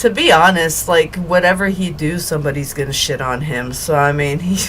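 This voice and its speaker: Through audible room echo and noticeable background noise, a woman talks fairly quickly in a very deep, low voice. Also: ordinary pitch variation. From Quebec, French Canada. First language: French. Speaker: podcast host, guest. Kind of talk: casual chat.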